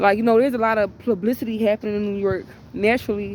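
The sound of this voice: A woman talks fast at a medium pitch, with a slightly mellow tone. Her intonation stays fairly even.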